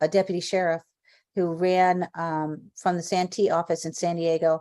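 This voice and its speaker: The woman speaks at a fairly low pitch in a dark, mellow tone. Her intonation is monotone and flat. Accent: American. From US South, South Florida. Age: 60s. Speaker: singer and actress. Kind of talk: interview testimony. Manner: halting, many fillers.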